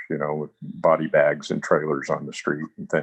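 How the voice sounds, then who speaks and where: A man speaks with an Alaskan accent, and the sound is dry and close with no echo. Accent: American, Alaska. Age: 60s. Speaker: writer and filmmaker. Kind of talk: life story interview. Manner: halting.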